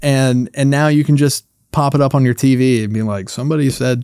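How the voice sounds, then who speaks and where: With an American accent, a man talks at a fairly quick pace and medium pitch, showing ordinary pitch variation and a dark, mellow tone in a dry, close sound with no echo. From US South, North Carolina. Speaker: puppeteer and content creator. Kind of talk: casual interview chat.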